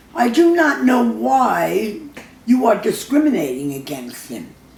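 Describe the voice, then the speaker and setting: Very slow speech from a woman with very wide pitch swings, over noticeable background noise. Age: 80s+. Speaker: mother reading letter to judge. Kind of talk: reading a personal letter aloud.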